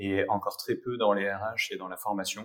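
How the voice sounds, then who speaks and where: At a fairly slow pace, a man with an ordinary speaking voice talks at a fairly low pitch with fairly even intonation. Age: 30s. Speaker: HR director and digital learning expert. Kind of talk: interview.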